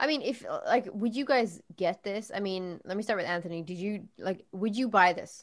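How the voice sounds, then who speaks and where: A woman's plain, everyday voice at medium pitch, moderate pace and ordinary pitch variation, hardly any pauses, on a very clean recording with a silent background. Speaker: podcast host. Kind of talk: casual chat.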